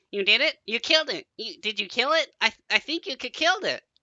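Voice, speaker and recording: A man puts on a character voice at an extremely high pitch. He talks at a very fast pace. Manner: chattering, excited.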